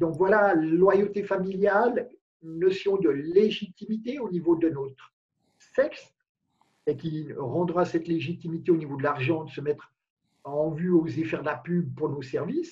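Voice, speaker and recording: A man's high voice at a fairly slow pace, with ordinary pitch variation over a quiet background. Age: 50s. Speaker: life coach guest. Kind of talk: interview. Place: home room. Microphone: video call.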